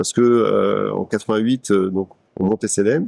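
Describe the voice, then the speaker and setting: A man speaks at a fairly quick pace with a dark, mellow tone. The sound is dry and close, with no echo. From Paris, France. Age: 60s. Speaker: business executive. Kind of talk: interview testimony. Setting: company showroom. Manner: hesitant with frequent fillers and repetitions.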